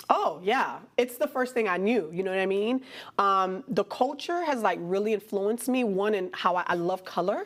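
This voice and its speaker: A woman with a Haitian accent talks at a moderate pace with lively intonation. Noticeable background noise is present. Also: medium pitch for a woman. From Miami, Florida (Haitian-American community). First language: Haitian Creole. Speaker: artist and fashion designer. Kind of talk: interview. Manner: casual, conversational.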